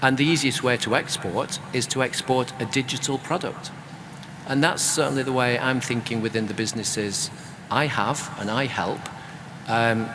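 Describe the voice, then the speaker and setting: A man speaks in a British accent at a medium pitch. His intonation is fairly even, with noticeable background noise around him. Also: moderate pace. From UK. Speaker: author and creative business consultant. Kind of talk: panel discussion.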